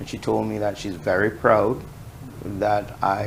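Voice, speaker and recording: Male speech with noticeable background noise and audible echo from the room. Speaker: journalist. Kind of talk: interview. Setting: studio. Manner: monotone.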